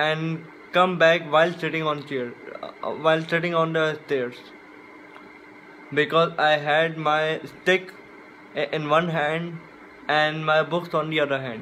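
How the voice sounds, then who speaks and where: With light background noise, a man speaks at a fairly slow pace and a fairly high pitch, monotone and flat, taking long, frequent pauses. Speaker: book vlogger. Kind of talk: casual talk to camera. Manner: stutter. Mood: relaxed, a bit regretful. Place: home room. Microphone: phone near.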